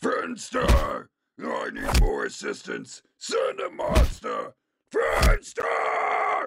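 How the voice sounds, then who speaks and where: A raspy, put-on character voice drawls along at a very slow pace. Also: man, extremely high pitch for a man. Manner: furious, arrogant, barking orders.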